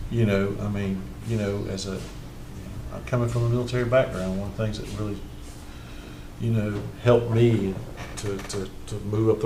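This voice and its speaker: Fairly low in pitch, a man speaks at a fairly quick clip with fairly even intonation. Audible room echo and noticeable background noise are present. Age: 60s. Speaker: county commissioner. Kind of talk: budget meeting discussion. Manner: halting, many repeated words.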